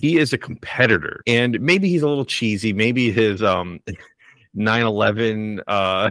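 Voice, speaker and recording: In a plain, everyday voice, a man speaks at a fairly slow pace with medium pitch and ordinary pitch variation, recorded very cleanly, dry and close with no echo, over a silent background. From Buffalo, New York area. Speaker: sports podcast host. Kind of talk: casual chat.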